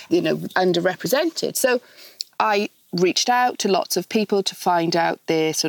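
A woman speaks with a Welsh accent. Her pace is moderate. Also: dry, close sound with no echo. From Wales. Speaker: charity founder and interior designer. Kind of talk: casual interview.

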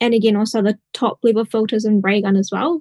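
A woman speaks at a fairly high pitch and moderate pace, somewhat breathy with a dark, mellow tone. Her intonation is fairly even, and the sound is dry and close with no echo. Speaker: software engineer. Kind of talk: technical panel discussion.

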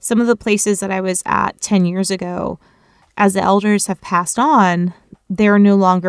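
A woman with an American accent talks at a fairly quick pace in a normal speaking voice, with medium pitch and fairly even intonation. The sound is dry and close, with no echo. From Florida. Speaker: ethnobotanist. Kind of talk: casual interview. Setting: remote recording.

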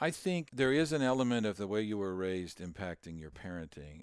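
This man has a normal speaking voice, in an American accent with a fairly low pitch. He keeps a moderate pace and lively intonation. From Kansas, US Midwest. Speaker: songwriter and inventor. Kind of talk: casual interview.

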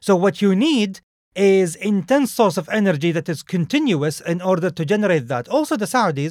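Recorded with a dry, close sound and no echo, a man speaks with ordinary pitch variation. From Saudi Arabia. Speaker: podcast co-host, former spy. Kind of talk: casual discussion.

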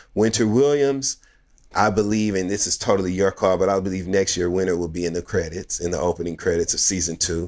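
A man's very deep, low voice, animated and very fast, on a very clean recording with a silent background. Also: ordinary pitch variation. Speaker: podcast co-host and reality TV commentator. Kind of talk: casual chat.

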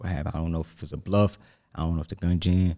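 In a New York accent, a man with a very deep, low voice speaks with fairly even intonation, the sound dry and close with no echo on a very clean recording with a silent background. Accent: New York area. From New Jersey. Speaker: aspiring motivational speaker. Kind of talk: casual interview, hot seat. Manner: nervous.

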